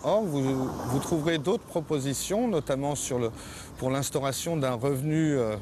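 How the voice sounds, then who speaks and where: Against noticeable background noise, a man talks at a moderate pace in a fairly high voice. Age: 40s. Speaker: parliamentary candidate. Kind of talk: campaign statement. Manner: halting, many hesitations.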